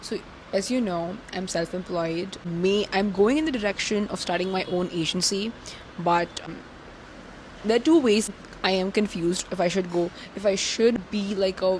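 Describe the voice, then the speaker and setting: Through noticeable background noise, a woman talks at a medium pitch. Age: 20s. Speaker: content creator and social media strategist. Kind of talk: casual vlog monologue. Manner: fast.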